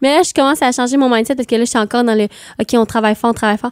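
A woman with a Quebec accent, fairly high in pitch with ordinary pitch variation, in a dry, close sound with no echo. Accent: Québécois French. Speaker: singer. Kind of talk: casual interview chat.

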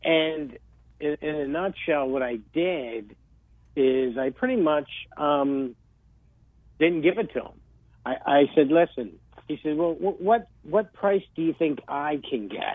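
Speaking at a fairly slow pace with long, frequent pauses, a man with a New Jersey accent has a fairly high pitch. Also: lively intonation. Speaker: real estate agent. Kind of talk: casual chat.

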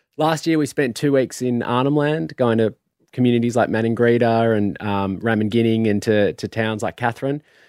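In an Australian accent, a man talks at a moderate pace with a medium pitch and ordinary pitch variation, in a very clean recording that is dry and close with no echo and a silent background. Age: 30s. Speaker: musician. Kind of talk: casual chat. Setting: studio.

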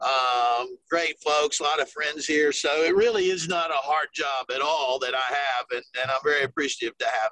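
A man talks at a moderate pace with hardly any pauses and fairly even intonation. His fairly high voice has a bright, sharp tone and a dry, close sound with no echo. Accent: Southern US. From South Carolina. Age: 50s. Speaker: golf tourism ambassador. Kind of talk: interview.

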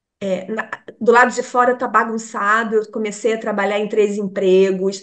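A woman's ordinary speaking voice at a moderate pace, with fairly even intonation. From Brazil, Rio de Janeiro. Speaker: meditation teacher. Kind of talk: casual interview.

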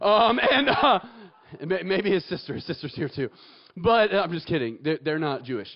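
A man with an American accent speaks high and in an animated tone, his pitch swinging very widely. He leaves long, frequent pauses, with noticeable background noise behind him. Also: moderate pace. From Atlanta, Georgia, US South. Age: 20s. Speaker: pastor. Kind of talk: sermon. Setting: stage with audience.

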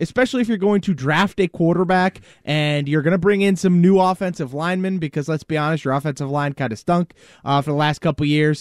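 A man talks at a very fast pace in a high voice. The recording is very clean, with a silent background and a dry, close sound with no echo. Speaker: sports radio panelist. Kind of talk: casual sports talk radio. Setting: radio studio.

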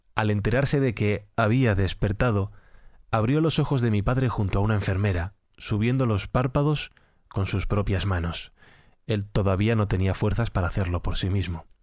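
An unremarkable speaking voice at a moderate pace, with ordinary pitch variation and very even loudness, comes through in a very clean recording with a silent background. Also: man, fairly low pitch for a man. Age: 30s. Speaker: podcast narrator. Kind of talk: scripted narration.

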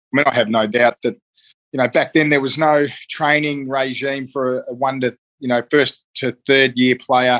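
An Australian-accented man speaks at medium pitch. His intonation is fairly even, and the sound is dry and close with no echo. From eastern Melbourne, Australia. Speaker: retired Australian rules footballer. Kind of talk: casual interview.

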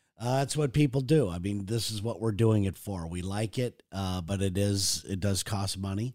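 This man has a normal speaking voice, fairly low in pitch. He moves at a moderate pace with ordinary pitch variation. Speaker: podcast co-host with his partner. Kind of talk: casual chat. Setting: home.

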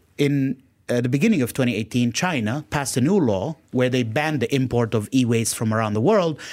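Using a plain, everyday voice, a man speaks at a medium pitch and a fairly quick pace with ordinary pitch variation. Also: very clean recording, silent background. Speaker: startup co-founder. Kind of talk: radio interview. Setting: studio.

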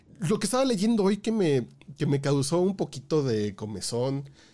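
Dark, mellow tone at a fairly slow pace with very wide pitch swings, in a very clean recording with a silent background. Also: man. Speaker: podcast co-host. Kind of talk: casual news chat.

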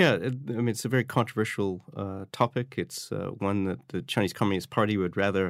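A man speaks at a fairly low pitch with ordinary pitch variation, recorded very cleanly against a silent background. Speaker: China politics academic. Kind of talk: academic panel discussion. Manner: hesitant, filler-heavy.

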